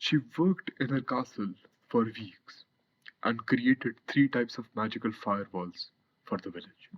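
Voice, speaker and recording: A man with an unremarkable speaking voice, medium pitch, ordinary pitch variation, and moderate pace, in a dry, close sound with no echo. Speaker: student narrator. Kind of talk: scripted narration.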